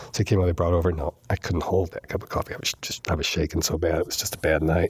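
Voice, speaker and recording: A man with an American accent speaks at a very fast pace. His voice is somewhat breathy, his intonation fairly even. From New York. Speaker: recovering alcoholic. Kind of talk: testimony.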